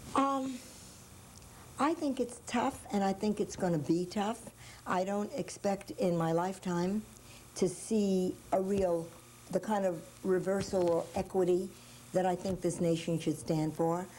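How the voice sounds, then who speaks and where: The speaker's dark, mellow voice moves at a fairly slow pace with long, frequent pauses, very even loudness and ordinary pitch variation. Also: woman, medium pitch for a woman. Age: 60s. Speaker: early childhood education pioneer. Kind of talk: interview.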